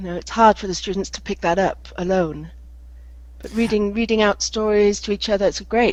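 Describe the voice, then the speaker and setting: A woman's voice with a British accent and big swings in loudness. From England. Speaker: English teacher. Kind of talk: casual group chat.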